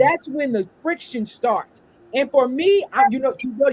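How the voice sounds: The speaker talks at a fairly slow pace with a St. Louis accent. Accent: country, St. Louis.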